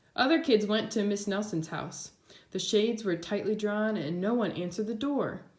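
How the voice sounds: What we hear is a natural reading voice.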